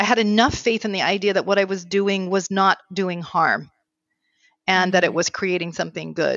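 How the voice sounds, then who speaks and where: In a plain, everyday voice, a woman speaks at a fairly quick pace with fairly even intonation. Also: medium pitch for a woman. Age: 50s. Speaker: marriage therapist. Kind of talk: interview.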